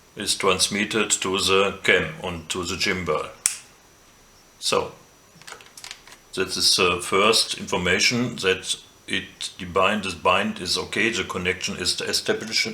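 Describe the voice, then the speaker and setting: A man with a non-native accent speaks at a fairly slow pace, leaving long, frequent pauses, with noticeable background noise behind him. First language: German. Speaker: drone hobbyist. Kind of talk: tutorial talk to camera.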